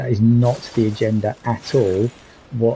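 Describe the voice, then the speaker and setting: Speaking fairly slowly in a British accent, a man keeps a medium pitch and a monotone, flat intonation. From Britain. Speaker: streamer in addiction recovery. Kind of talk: casual livestream monologue. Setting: solo livestream. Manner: hesitant, many fillers.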